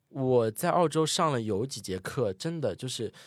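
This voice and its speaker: A man speaks on a very clean recording. The background is silent. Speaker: ski instructor. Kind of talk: casual interview chat. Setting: studio, in person.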